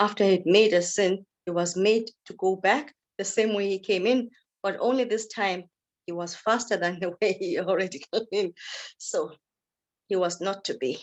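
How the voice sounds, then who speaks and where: Against a quiet background, a woman with an unremarkable speaking voice talks at a medium pitch and a moderate pace, with ordinary pitch variation. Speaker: storyteller. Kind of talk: oral folk tale storytelling.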